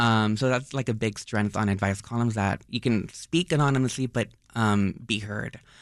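An ordinary speaking voice with an American accent moves at a moderate pace with ordinary pitch variation. The background is quiet. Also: man, medium pitch for a man. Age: 30s. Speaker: newspaper advice columnist. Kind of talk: casual interview.

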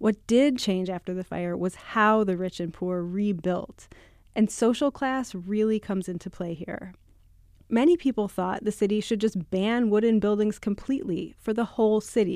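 The recording is very clean, with a silent background. A woman talks at a moderate pace in a plain, everyday voice, at medium pitch with ordinary pitch variation. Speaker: radio reporter. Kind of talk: radio news feature narration.

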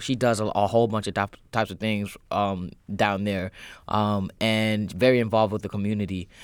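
The speaker is a man with a fairly low pitch. He keeps a moderate pace. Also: very clean recording, silent background. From born in Kenya, raised in the US. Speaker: musician. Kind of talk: radio interview. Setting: studio. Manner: hesitant, many fillers.

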